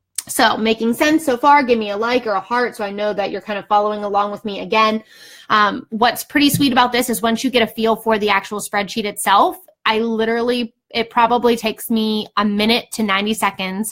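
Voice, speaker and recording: A woman's fairly high voice at a fairly quick pace, with fairly even intonation, an ordinary speaking voice. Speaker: real estate investor and educator. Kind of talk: tutorial. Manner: casual, filler-heavy.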